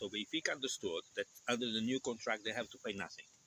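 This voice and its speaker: A man is speaking. He has a Portuguese accent. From Portugal. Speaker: channel host, vlogger. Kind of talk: casual chat. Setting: outdoors in a park.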